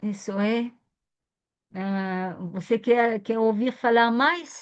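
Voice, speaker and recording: Very slow speech with a non-native accent and ordinary pitch variation. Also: woman, fairly high pitch for a woman. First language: not Portuguese (speaking Portuguese). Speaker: biodanza teacher and lecturer. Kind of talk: lecture Q&A.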